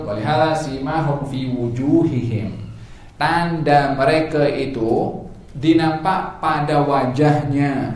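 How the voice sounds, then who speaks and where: Audible room echo surrounds this man's voice. His pitch is fairly high and his intonation fairly even. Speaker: religious teacher. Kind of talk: religious lecture. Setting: mosque with audience. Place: church.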